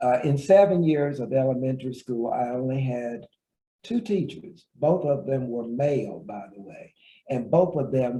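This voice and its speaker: A man's medium-pitched, somewhat breathy voice with an American accent, a dark, mellow tone, lively intonation and big swings in loudness. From southwest Virginia, US. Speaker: retired professor and author. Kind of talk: interview.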